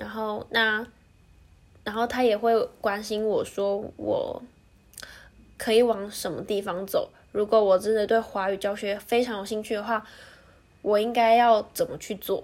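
A woman with a Taiwanese accent speaks fairly slowly in a fairly high pitch, her intonation monotone and flat. She leaves long, frequent pauses. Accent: Taiwanese Mandarin. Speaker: podcast host. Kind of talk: solo monologue.

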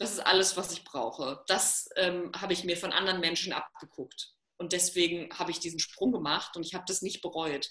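With an unremarkable speaking voice, a woman talks fairly quickly at a fairly low pitch with fairly even intonation. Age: 30s. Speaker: self-love coach. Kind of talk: casual interview.

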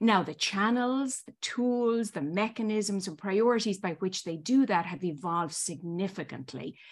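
Against a quiet background, a woman talks fairly slowly with lively intonation and big swings in loudness. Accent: Irish. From Ireland. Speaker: marketing executive. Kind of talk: interview. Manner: formal.

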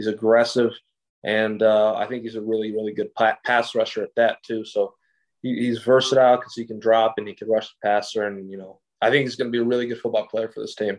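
A man with an American accent at a very fast pace, medium pitch and monotone, flat intonation. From Greece and West Lafayette, Indiana. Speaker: college football player. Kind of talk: interview.

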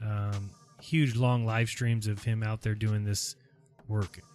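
This man talks at a medium pitch in a normal speaking voice. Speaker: live stream host. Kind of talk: casual group livestream chat. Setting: video call. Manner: upbeat, chatty.

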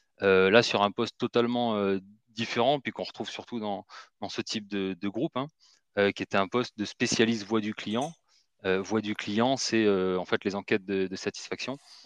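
The background is quiet, and the sound is dry and close with no echo. A man speaks with a fairly low pitch and fairly even intonation. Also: moderate pace. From Marseille, southern France. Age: 30s. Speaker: recruitment firm director. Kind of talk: interview. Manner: hesitant, many fillers.

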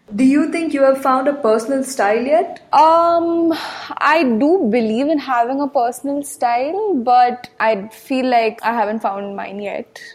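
Lively intonation marks this woman's high-pitched voice at a fairly slow pace. Noticeable background noise sits behind her. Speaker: design student. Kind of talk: interview.

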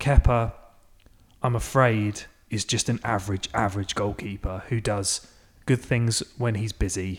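A man's somewhat breathy, fairly low voice with an English accent and fairly even intonation, on a very clean recording with a silent background. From England. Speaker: football podcast co-host. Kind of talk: casual chat.

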